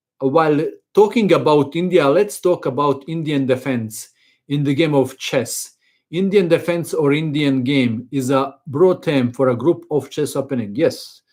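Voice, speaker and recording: Speaking with a non-native accent, a man talks at a fairly slow pace and fairly high pitch with ordinary pitch variation. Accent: foreign. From Croatia. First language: Croatian. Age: 50s. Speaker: chess teacher. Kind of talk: live stream chat. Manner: halting.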